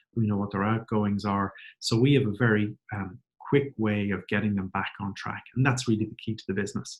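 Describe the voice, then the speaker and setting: A fairly low-pitched man with an Irish accent, fairly quick, fairly even in intonation, with big swings in loudness. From Ireland. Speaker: company CEO. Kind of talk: webinar presentation. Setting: webcast. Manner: moderate pace.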